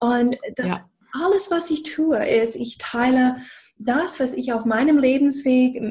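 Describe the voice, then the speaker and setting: A high-pitched woman with an English accent, a fairly slow pace and a quiet background. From USA. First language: English (speaking German). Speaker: business coach. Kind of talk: casual chat. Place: home room. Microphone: video call.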